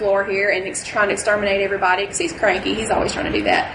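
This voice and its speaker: A woman with a Southern US accent at a very fast pace, medium in pitch with fairly even intonation, amid noticeable background noise and audible room echo. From rural Mississippi. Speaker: costuming fan group leader. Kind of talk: convention panel talk.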